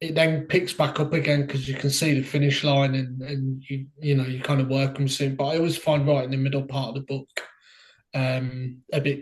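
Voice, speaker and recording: A man speaks in a fairly high pitch with a somewhat breathy voice. His intonation stays flat and monotone. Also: moderate pace. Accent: strong Brummie. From Birmingham, England (Solihull side). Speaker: indie author. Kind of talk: interview.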